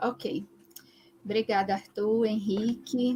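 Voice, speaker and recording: The sound is dry and close with no echo. Delivery comes at a moderate pace with fairly even intonation. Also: woman. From Brazil, Recife (Pernambuco). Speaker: geographer, researcher on urban social movements. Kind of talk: live-stream interview / talk. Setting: online live stream.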